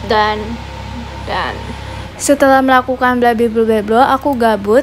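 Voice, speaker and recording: A woman at a fairly high pitch and moderate pace, with fairly even intonation and noticeable background noise. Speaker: lifestyle vlogger. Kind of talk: vlog narration.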